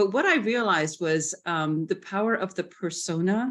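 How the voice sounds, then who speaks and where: A woman with a medium-pitched voice talks at a moderate pace. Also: quiet background. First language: not English. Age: 60s. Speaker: retired professor, webinar participant. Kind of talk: casual sharing in group discussion.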